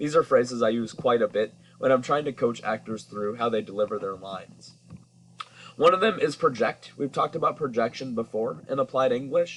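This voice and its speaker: At a fairly quick pace, a man speaks at medium pitch with ordinary pitch variation over noticeable background noise. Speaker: high school English teacher. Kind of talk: lecture. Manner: projecting clearly, emphatic enunciation.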